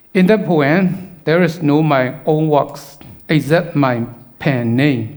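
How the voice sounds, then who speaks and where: In a Burmese accent, a man speaks at a very slow pace with a fairly high pitch and ordinary pitch variation. His loudness stays very even, and the room echo is audible. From Burma. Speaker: poet and filmmaker. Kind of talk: conference talk. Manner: halting, many fillers.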